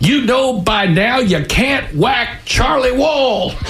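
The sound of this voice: In a put-on character voice, the speaker talks slowly with lively intonation over clear background noise. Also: man, extremely high pitch for a man.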